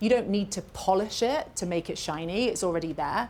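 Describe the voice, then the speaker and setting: She speaks with a British accent at a medium pitch, using ordinary pitch variation. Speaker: makeup artist educator. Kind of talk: live masterclass Q&A. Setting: stage with live and Zoom audience.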